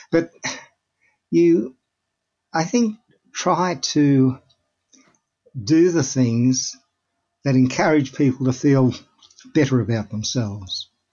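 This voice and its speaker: With an Australian accent, a man at medium pitch talks at a very slow pace with lively intonation, very even loudness, and long, frequent pauses. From Melbourne, Australia. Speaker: clinical psychologist. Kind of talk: interview.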